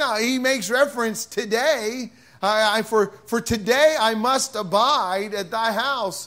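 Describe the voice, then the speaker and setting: In a raised, projected voice, a man speaks at a very slow pace. His tone is bright and sharp, with lively intonation. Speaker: pastor. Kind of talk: sermon. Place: church. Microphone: podium.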